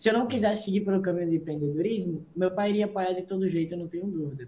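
A man's high-pitched, very fast speech with ordinary pitch variation and noticeable background noise. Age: young. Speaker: young entrepreneur. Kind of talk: interview. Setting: video call. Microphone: phone.

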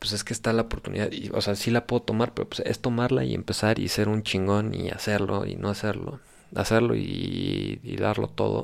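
A man with a fairly low pitch and a Mexican accent speaks at a moderate pace with fairly even intonation, on a very clean recording with a silent background. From Mexico. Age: 20s. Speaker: podcast host. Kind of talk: casual monologue.

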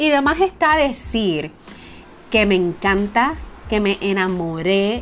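Over music in the background, a woman with a medium pitch talks at a very slow pace. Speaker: podcast host, early childhood educator. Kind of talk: personal storytelling monologue. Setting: home office.

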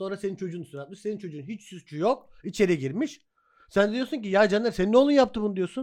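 Very fast and high-pitched, a man speaks with lively intonation. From Hatay, Samandağ (southern Turkey). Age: 30s. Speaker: podcast host. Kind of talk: casual chat.

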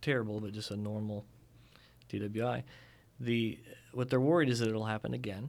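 A man's fairly low-pitched voice at a fairly quick pace, with ordinary pitch variation and long, frequent pauses. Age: 40s. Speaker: criminal defense attorney. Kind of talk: interview. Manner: hesitant, many fillers.

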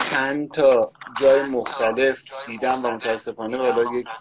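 A man's medium-pitched voice at a moderate pace, fairly even in intonation, with noticeable background noise. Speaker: podcast co-host. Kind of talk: tutorial. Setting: remote live call. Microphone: echo on his voice.

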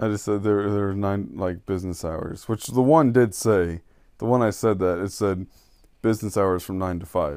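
Over a very clean recording with a silent background, a man speaks in an unremarkable speaking voice at a moderate pace and a fairly low pitch. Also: ordinary pitch variation. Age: 20s. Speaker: podcast co-host. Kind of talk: casual chat.

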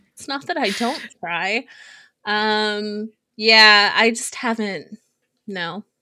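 Pausing long and often, a woman with a fairly high voice speaks at a very slow pace with ordinary pitch variation. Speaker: podcast co-host. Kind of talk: casual chat.

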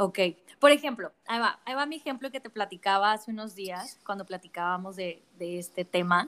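A woman speaks fairly quickly in an unremarkable speaking voice of medium pitch. Her intonation is lively, with big swings in loudness. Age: 30s. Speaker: podcast host. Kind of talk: interview conversation.

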